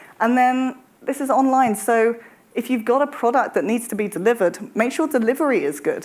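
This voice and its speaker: A woman speaks with a British accent. Her pitch is high. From UK. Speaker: travel industry executive. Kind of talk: panel discussion.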